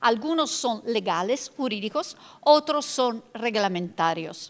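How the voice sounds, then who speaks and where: Very slow speech from a woman with an Italian accent, full of very wide pitch swings, in a very clean recording with a silent background. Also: fairly high pitch for a woman. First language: Italian (speaking Spanish). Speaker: law professor and panelist. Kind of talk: lecture. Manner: halting.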